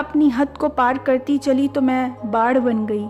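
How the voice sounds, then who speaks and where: Music plays in the background as a woman with a high pitch speaks with ordinary pitch variation. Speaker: poet. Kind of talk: poetry reading.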